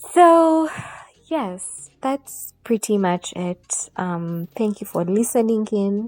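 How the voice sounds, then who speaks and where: A woman with a Ugandan accent, her fairly high voice making very wide pitch swings, in a dry, close sound with no echo and music in the background. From Uganda (Buganda). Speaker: podcaster. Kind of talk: casual monologue. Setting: at home on her bed. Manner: unscripted, informal.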